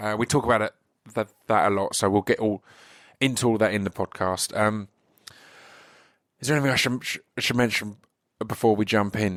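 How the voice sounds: A man talks at a moderate pace with a fairly low pitch and a fairly bright tone. His intonation is fairly even, broken by long, frequent pauses.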